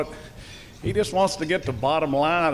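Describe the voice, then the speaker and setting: Speaking in a Southern US accent, a man uses a fairly high pitch with ordinary pitch variation. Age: 70s. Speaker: school superintendent. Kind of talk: public speech. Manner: halting.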